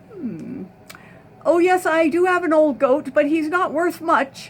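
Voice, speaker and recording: In a put-on character voice, a woman speaks fairly slowly at an extremely high pitch. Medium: read story. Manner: desperate, pleading.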